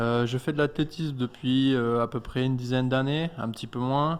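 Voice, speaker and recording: A man's medium-pitched voice, fairly slow in pace and fairly even in intonation, over a quiet background. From France (Clermont-Ferrand, Auvergne). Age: 20s. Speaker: athlete. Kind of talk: radio interview. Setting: studio. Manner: hesitant.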